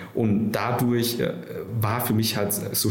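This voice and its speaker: A man is speaking. Audible room echo and noticeable background noise are in the recording. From Nuremberg, Franconia (Vietnam until age 9). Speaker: startup founder and CEO. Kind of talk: interview. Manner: hesitant, many fillers.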